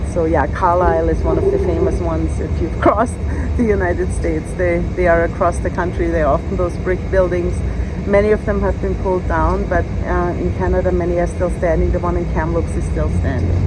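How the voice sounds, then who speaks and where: A woman with an Austrian accent speaks at a fairly quick pace. There is audible room echo and noticeable background noise. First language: German. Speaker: law professor. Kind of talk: casual chat.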